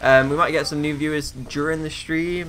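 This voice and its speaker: A man with a British accent speaks fairly quickly in a flat monotone, his voice fairly high-pitched for a man, over noticeable background noise. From UK. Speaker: gaming YouTuber. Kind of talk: let's play commentary. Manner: casual, filler-heavy.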